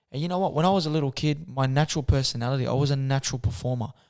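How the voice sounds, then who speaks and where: Talking at a very fast pace, a man speaks at a fairly high pitch. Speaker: professional boxer and teacher's aide. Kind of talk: interview answer. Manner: soft-spoken.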